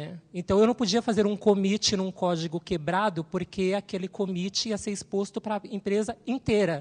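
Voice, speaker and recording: A woman speaks with fairly even intonation and hardly any pauses. Her voice is somewhat breathy. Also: moderate pace. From Brazil, São Paulo. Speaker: systems analyst, panelist. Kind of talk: panel talk. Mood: earnest, somewhat sorrowful. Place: hall. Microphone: handheld.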